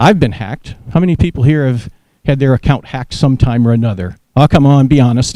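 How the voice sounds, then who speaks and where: Very fast and dark, mellow in tone, a man talks with an American accent. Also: medium pitch for a man, ordinary pitch variation. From US South, New Orleans. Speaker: research director and retired Air Force general. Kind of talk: lecture.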